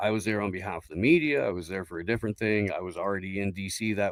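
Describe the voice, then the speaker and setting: A man with an unremarkable speaking voice talks fairly quickly at a fairly low pitch, keeping his intonation fairly even. The sound is dry and close, with no echo. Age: 40s. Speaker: political streamer. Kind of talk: heated debate. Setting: online panel stream.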